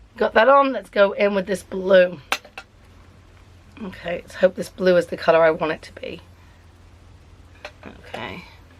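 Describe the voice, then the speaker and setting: Long, frequent pauses break up a woman's speech in an English accent, delivered at a moderate pace and medium pitch with ordinary pitch variation and big swings in loudness. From England. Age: 30s. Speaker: beauty vlogger. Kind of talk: casual makeup tutorial vlog. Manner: chatty.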